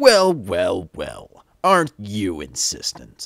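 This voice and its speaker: A man's put-on character voice at a very slow pace. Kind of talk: game character audition lines. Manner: sly, mocking.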